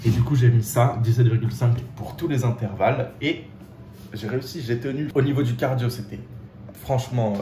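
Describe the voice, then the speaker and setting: Pitched in a medium range, the man's speech moves at a moderate pace. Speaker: fitness vlogger. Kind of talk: casual vlog. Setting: outdoors walking home, then at home. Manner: animated.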